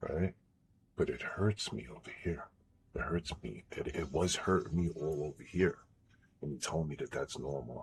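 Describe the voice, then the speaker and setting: A man's very deep, low voice with vocal fry and ordinary pitch variation, at a moderate pace with long, frequent pauses. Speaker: gaming streamer. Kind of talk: live stream chat. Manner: quiet, not raised; halting.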